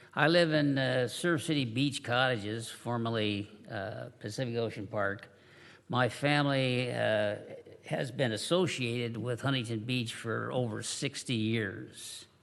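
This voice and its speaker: The man's voice is medium in pitch, with ordinary pitch variation and a fairly slow pace. Audible room echo surrounds it. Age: 70s. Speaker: public commenter at city council meeting. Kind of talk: public comment speech. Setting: city council chamber. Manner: halting, many fillers.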